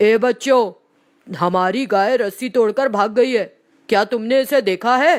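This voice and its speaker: In a cartoonish character voice, the speaker talks at a fairly slow pace with a fairly high pitch. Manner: gruff, curt.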